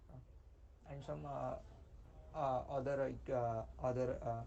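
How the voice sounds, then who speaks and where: Amid audible room echo, a man speaks quietly at a fairly slow pace. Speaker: student presenting a project. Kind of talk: project presentation. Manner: halting, many fillers.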